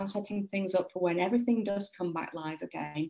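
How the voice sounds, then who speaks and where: In a British accent, a woman talks at a fairly quick pace with a medium pitch, a dark, mellow tone and ordinary pitch variation. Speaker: property sourcing compliance coach. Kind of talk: casual live chat to viewers.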